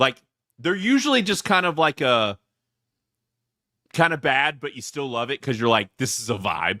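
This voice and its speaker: In a very clean recording with a silent background and a dry, close sound with no echo, a man with a Southern US accent speaks at a moderate pace in a bright, sharp tone with lively intonation. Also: fairly high pitch for a man. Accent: Southern twang. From US South. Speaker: podcast host, movie reviewer. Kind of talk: casual chat. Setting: live podcast. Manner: halting.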